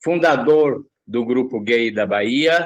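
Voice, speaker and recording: With ordinary pitch variation, the delivery unfolds very slowly. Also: man. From Brazil, São Paulo. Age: 70s. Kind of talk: interview.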